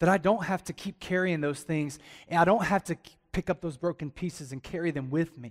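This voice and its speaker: In a dry, close sound with no echo, a man with a Southern US accent speaks in an animated tone at a high pitch with ordinary pitch variation. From Alabama. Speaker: pastor. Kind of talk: sermon. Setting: church with congregation.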